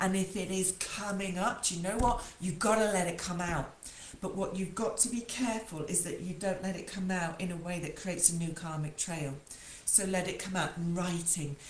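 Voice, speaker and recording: A woman with a British accent speaks at a medium pitch and moderate pace with fairly even intonation, with audible room echo and noticeable background noise. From UK. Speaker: spiritual coach and psychic medium. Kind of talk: spiritual talk to viewers. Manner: informal, emphatic.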